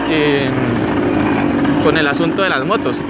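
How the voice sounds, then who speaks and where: Over loud background noise, a man talks at a moderate pace in a dry recording with no echo. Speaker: motovlogger. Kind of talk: casual vlog chat. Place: motorbike.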